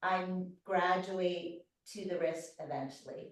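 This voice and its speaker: Through audible room echo, a woman speaks at a medium pitch and a very slow pace. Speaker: physical therapist. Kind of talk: live online presentation with exercise demonstration.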